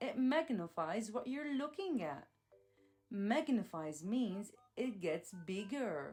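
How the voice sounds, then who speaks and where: An upbeat woman's voice, fairly high in pitch with very wide pitch swings, at a very slow pace over music in the background. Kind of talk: children's educational narration. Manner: upbeat, clear, slow.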